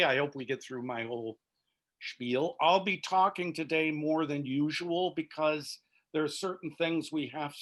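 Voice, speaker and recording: Here is a man with an ordinary speaking voice. His pitch is fairly high and his pace fairly slow. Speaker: theology professor teaching a church class. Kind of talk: online class lecture. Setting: video call.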